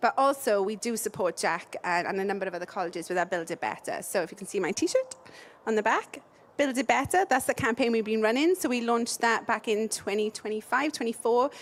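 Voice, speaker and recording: In a Welsh accent, a woman with a fairly high voice speaks fairly quickly with lively intonation. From South Wales. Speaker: building products company representative. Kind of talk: interview.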